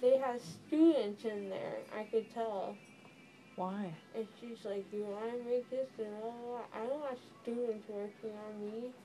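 A woman talks at a fairly slow pace. Faint music plays in the background. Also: fairly even intonation. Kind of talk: casual chat while groggy. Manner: groggy, slurred post-anesthesia speech. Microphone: phone near.

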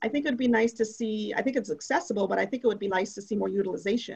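In an American accent, the speaker sounds somewhat breathy. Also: woman. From Minnesota, St. Paul and Shoreview. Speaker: city council candidate. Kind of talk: candidate forum answers.

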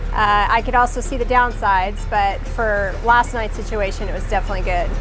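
A woman speaks at a moderate pace. Clear music plays behind her. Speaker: sailing vlogger. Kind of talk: casual vlog chat. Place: boat. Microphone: phone near.

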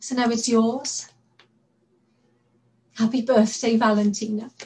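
Speaking at a fairly slow pace, a woman holds a fairly high pitch with monotone, flat intonation. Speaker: actor. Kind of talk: dramatic monologue performance.

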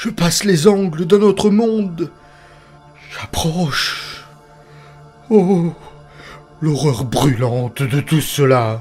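Faint music plays in the background as a man in a put-on character voice, fairly high in pitch, speaks at a very slow pace. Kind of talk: horror narration. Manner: trance-like, awestruck, growing terror.

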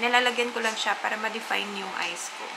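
Noticeable background noise sits behind a woman speaking at a fairly quick pace. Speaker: beauty vlogger. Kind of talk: casual makeup tutorial chat. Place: home room. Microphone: camera far.

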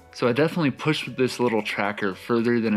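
Faint music plays in the background as a man speaks with ordinary pitch variation. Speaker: astrophotography youtuber. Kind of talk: tutorial. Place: home room.

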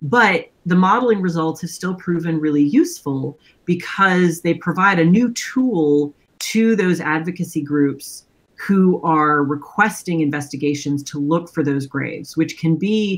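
A woman speaks in a fairly low pitch with ordinary pitch variation. She has a normal speaking voice. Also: fairly slow pace. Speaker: remote interview guest. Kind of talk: interview answer. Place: home room. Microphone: webcam.

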